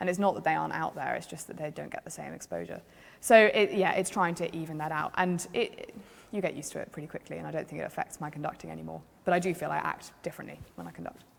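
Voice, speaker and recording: Here a woman talks at a very fast pace. Her loudness swings widely. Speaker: choral conductor and organist. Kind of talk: interview. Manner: hesitant with fillers.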